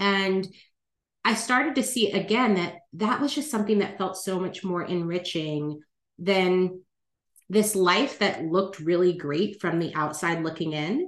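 A woman has an unremarkable speaking voice of medium pitch. She talks at a fairly slow pace with ordinary pitch variation. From California. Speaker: life planner and relationship coach. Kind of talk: interview conversation.

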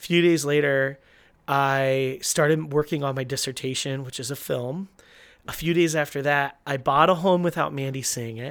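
A man with an ordinary speaking voice talks at a moderate pace in a fairly high pitch, his intonation fairly even, on a very clean recording with a silent background. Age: 30s. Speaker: podcast host, church pastor. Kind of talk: casual chat.

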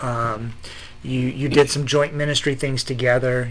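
This man has a plain, everyday voice pitched at a medium level. He talks at a fairly quick pace with fairly even intonation. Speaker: podcast host. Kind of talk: interview, conversational.

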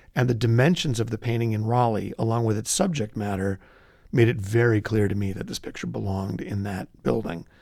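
Over a very clean recording with a silent background, a man speaks in a normal speaking voice at a medium pitch. His pace is fairly quick, with ordinary pitch variation. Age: 50s. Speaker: art history professor. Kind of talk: interview.

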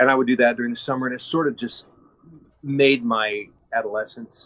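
Here is an ordinary speaking voice from a man, at a medium pitch with ordinary pitch variation. He talks fairly quickly in an American accent. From Kansas. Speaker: actor. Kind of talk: interview.

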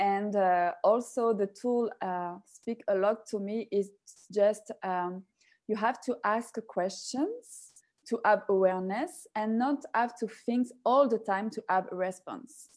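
In a French accent, a woman with a fairly high voice speaks at a very slow pace with ordinary pitch variation. The recording is very clean, with a silent background. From France. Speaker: personal development facilitator and yoga instructor. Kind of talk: interview. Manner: halting.

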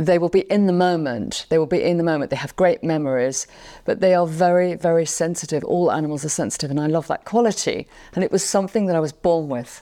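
A very fast woman in a London accent, fairly low-pitched with ordinary pitch variation, on a very clean recording with a silent background. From England. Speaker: pet communicator and pianist. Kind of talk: casual interview. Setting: in a friend's living room.

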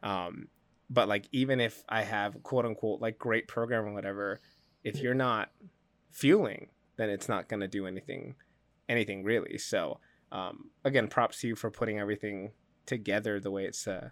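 On a very clean recording with a silent background, a man with an ordinary speaking voice talks at a moderate pace, fairly low in pitch with fairly even intonation. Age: 20s. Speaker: podcast co-host, fitness coach. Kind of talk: casual chat.

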